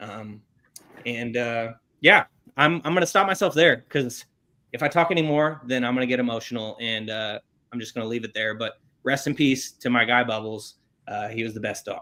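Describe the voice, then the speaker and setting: This man's voice sits at medium pitch, moving at a moderate pace with ordinary pitch variation. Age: 20s. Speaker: sports podcast host. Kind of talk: casual podcast chat. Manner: halting.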